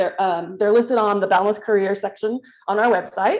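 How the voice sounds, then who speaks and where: A woman talks at a fairly quick pace. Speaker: HR staff member. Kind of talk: company meeting update. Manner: fast; animated.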